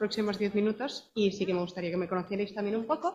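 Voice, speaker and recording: A woman with a Madrid accent speaks at a fairly high pitch with ordinary pitch variation. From Madrid, Spain. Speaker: company representative, psychologist in HR. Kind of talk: conference presentation.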